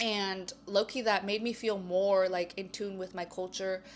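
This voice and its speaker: On a very clean recording with a silent background, a woman speaks fairly slowly at a medium pitch in a flat monotone. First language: Spanish. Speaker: university student. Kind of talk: casual interview. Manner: casual, filler-heavy.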